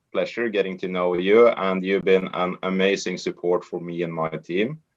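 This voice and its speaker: A man's fairly low voice with a Norwegian accent. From Norway. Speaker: network marketer. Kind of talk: training presentation. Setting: online group call.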